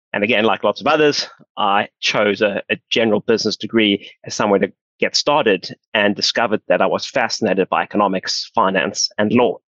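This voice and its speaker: In a South African accent, a man talks at a fairly quick pace with a fairly low pitch and ordinary pitch variation. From South Africa, Johannesburg. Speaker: pension fund founder. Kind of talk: podcast interview.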